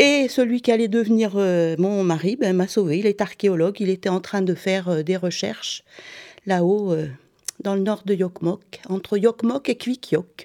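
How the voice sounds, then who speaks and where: The tone is dark and mellow, with ordinary pitch variation. The pace is fairly slow. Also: woman. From southern France, Montpellier. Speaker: doula and former teacher. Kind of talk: interview.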